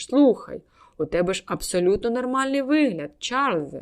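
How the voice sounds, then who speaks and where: A woman speaks in a high, put-on character voice at a moderate pace. The recording is very clean, with a silent background. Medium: read story. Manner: hearty, exclamatory.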